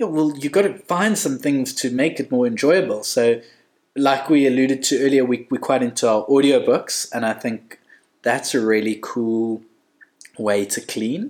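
Here is a normal speaking voice from a man. He talks at a moderate pace with ordinary pitch variation. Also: medium pitch for a man. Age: 30s. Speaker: podcast guest, host's husband. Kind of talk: casual chat.

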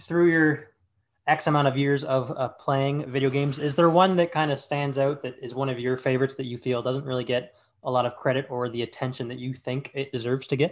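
A man with a Canadian accent talks at a fairly quick pace in a fairly high voice, his intonation fairly even. It is an ordinary speaking voice, with a quiet background. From Hamilton, Ontario. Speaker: podcast host. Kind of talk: casual interview. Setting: remote call.

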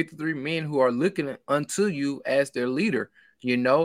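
A man with a Mississippi accent, fairly high pitch, lively intonation and moderate pace, on a very clean recording with a silent background. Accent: Southern US (Mississippi). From Mississippi, US South. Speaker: sports podcaster and YouTuber. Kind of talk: casual sports chat.

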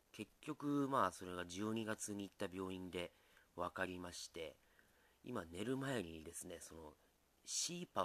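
This man's voice is very deep and low, with a relaxed tone, ordinary pitch variation, and big swings in loudness. He talks at a fairly slow pace in a dry, close sound with no echo. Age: 40s. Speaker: comedian and musician. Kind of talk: solo podcast monologue. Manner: relaxed, hesitant with fillers.

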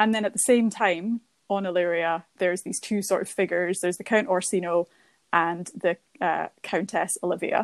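A woman with a Scottish accent speaks at a moderate pace and medium pitch, her voice dry and close with no echo against a quiet background. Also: fairly even intonation. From Scotland. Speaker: postgraduate student and museum outreach worker. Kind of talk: casual chat.

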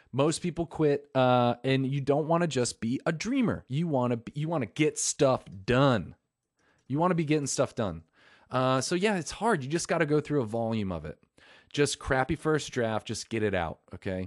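A man with an ordinary speaking voice talks at a moderate pace with lively intonation and fairly high pitch, the sound dry and close with no echo over a quiet background. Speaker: podcast host. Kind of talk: casual solo podcast chat. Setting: recording from phone. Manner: rambling, repetitive, informal.

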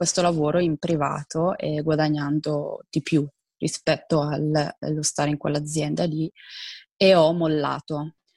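In a dry, close sound with no echo, a woman speaks fairly slowly with a very deep, low pitch and monotone, flat intonation. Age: 20s. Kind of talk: interview.

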